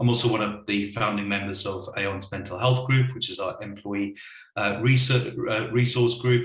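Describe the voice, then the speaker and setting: A man speaks at a moderate pace in a fairly low, flat monotone. Noticeable background noise runs under his voice. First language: not English. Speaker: wellbeing consultancy leader. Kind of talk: panel discussion. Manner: hesitant, repeats words.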